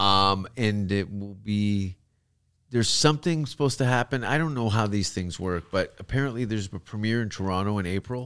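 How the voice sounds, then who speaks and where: On a very clean recording with a silent background, a man with a Canadian accent and a normal speaking voice talks at a fairly quick pace, with fairly low pitch and ordinary pitch variation. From Canada. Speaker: comedian. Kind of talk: casual chat.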